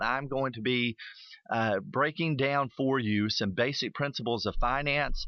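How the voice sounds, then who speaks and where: With a Tennessee accent, this man talks at a moderate pace in a medium-pitched voice. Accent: Tennessee Southern US. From US South. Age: 40s. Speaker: radio host. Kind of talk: radio talk show monologue. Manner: animated.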